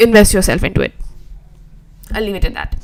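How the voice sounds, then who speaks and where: With an Indian accent, a woman speaks in a fairly even intonation. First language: Hindi. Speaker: web designer and YouTuber. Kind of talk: live stream reaction and chat. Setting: live stream. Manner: casual, repetitive, stammering. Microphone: poor audio quality.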